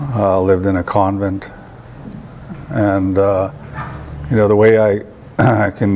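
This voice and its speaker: Noticeable background noise surrounds a man speaking fairly slowly, with a fairly low pitch and fairly even intonation. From Alberta, Canada. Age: 60s. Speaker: employment program coordinator. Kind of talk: interview. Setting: TV studio. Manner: halting, many fillers.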